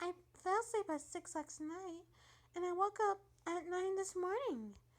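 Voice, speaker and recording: In a put-on character voice, a soft-spoken woman uses a gentle tone at an extremely high, squeaky pitch. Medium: read story. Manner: soft, gentle.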